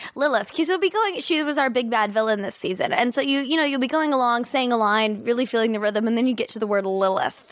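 Over noticeable background noise, a woman talks very fast in a high voice with lively intonation and hardly any pauses. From Kansas City, US Midwest. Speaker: actress. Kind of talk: casual interview chat.

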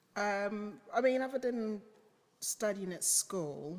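Here a woman speaks in a London accent. Her intonation is lively. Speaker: photographer. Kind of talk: casual chat.

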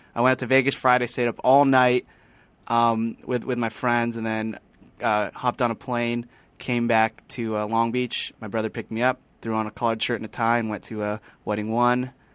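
A man talks fairly quickly at a medium pitch in a monotone, flat delivery. The recording is very clean with a silent background, the sound dry and close with no echo. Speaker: podcast crew member. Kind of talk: casual chat.

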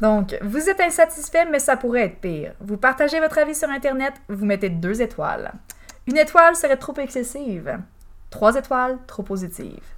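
In a Bas-Saint-Laurent Quebec accent, a woman talks at a moderate pace in a high pitch with very wide pitch swings. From Quebec, Bas-Saint-Laurent. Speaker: podcast host, quiz presenter. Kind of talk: game show hosting, reading reviews aloud. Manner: laughing often.

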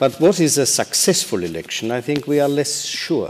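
A man's moderately paced speech, with ordinary pitch movement, is set against noticeable background noise. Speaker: diplomat and election observation official. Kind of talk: panel discussion. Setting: stage with audience.

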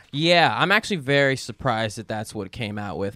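A man's plain, everyday voice, at a fairly quick pace with lively intonation. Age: 20s. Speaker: comedian and internet video creator. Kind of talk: casual chat.

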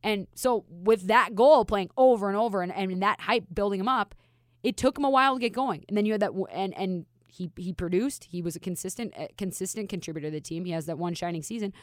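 Someone with an American accent talks very fast with ordinary pitch variation on a very clean recording with a silent background. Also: woman, medium pitch for a woman. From Minnesota. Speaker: hockey reporter. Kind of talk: casual chat.

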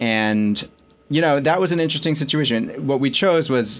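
A man's unremarkable speaking voice at a moderate pace, with lively intonation. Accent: American. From New York and Connecticut. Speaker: magazine editor-in-chief. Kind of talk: interview.

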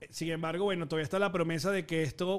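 Speaking at a fairly quick pace, a man with a Venezuelan accent has a high pitch and a bright, sharp tone. His intonation stays fairly even. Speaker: film and pop culture podcast host. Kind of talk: casual chat.

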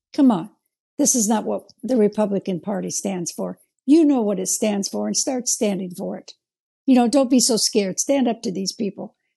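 In an American accent, a woman with vocal fry and a dark, mellow tone talks at a moderate pace and fairly high pitch, with ordinary pitch variation. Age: 70s. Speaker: January 6 defendant. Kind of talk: interview.

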